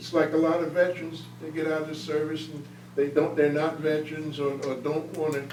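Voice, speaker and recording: In an American accent, a man speaks in a flat monotone, with audible room echo and noticeable background noise. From US Northeast, northern New Jersey. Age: 80s+. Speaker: war veteran. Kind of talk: Q&A after a talk. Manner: halting.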